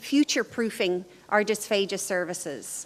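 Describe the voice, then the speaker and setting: In an Irish accent, a woman is speaking. She keeps a moderate pace. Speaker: professor. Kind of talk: lecture. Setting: conference stage with audience.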